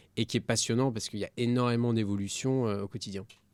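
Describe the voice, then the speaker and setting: An unremarkable speaking voice, a man's, at a fairly quick pace with a medium pitch and ordinary pitch variation. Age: 20s. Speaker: entrepreneur, company CEO. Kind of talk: podcast interview.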